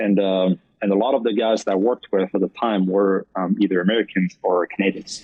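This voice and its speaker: A man with a French accent speaks at a fairly quick pace and a fairly low pitch. His intonation is flat and monotone, with very even loudness. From France, French Alps near Swiss border. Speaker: esports partnership manager. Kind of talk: podcast interview. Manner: many fillers and restarts.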